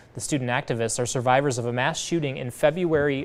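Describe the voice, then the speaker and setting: A man with an American accent at a very fast pace. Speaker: TV news anchor and reporter. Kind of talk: studio anchor news read. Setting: studio.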